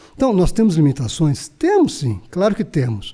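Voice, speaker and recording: A man's high-pitched voice with a dark, mellow tone and very wide pitch swings, at a moderate pace. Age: 60s. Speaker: labor court judge. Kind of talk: interview conversation.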